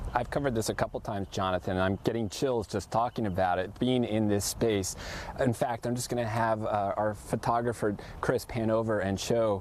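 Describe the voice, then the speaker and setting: With noticeable background noise, a man with a fairly low voice talks at a fairly quick pace and with fairly even intonation. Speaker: TV news reporter. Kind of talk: live field report. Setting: outdoors at a cemetery. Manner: soft-spoken.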